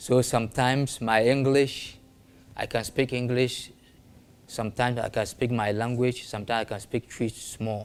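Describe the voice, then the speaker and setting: The speaker has a northern Ghanaian accent. The intonation is monotone and flat. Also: man, medium pitch for a man, moderate pace. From northern Ghana (Tamale). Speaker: traditional spiritualist. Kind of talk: interview. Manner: halting non-fluent English.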